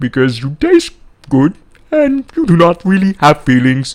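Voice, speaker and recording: In a put-on character voice, the speaker holds a middle pitch at a moderate pace. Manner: matter-of-fact, cold.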